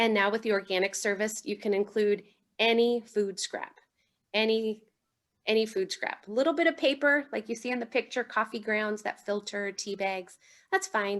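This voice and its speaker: This woman has a fairly high pitch. It is a plain, everyday voice. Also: ordinary pitch variation, moderate pace. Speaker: city solid waste and recycling staff. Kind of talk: presentation at online neighborhood meeting.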